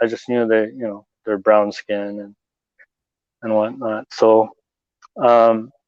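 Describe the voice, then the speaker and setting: A man speaks with a Canadian accent at a fairly slow pace. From Canada, Toronto. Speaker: convert guest. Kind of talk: podcast interview. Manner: halting, many fillers.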